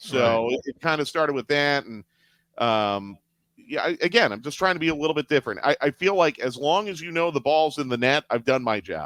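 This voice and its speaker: A fairly high-pitched man at a fairly quick pace with lively intonation, an unremarkable speaking voice, dry, close sound with no echo, and a very clean recording with a silent background. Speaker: radio play-by-play announcer. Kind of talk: interview answer.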